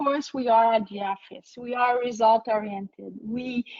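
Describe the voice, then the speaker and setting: A woman is talking. She has a French accent. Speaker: HR consultant and entrepreneur. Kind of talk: webinar Q&A. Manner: halting.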